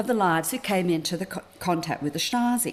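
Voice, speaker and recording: A woman with an Australian accent and very wide pitch swings. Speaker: academic lecturer, fellow. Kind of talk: academic lecture. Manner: formal.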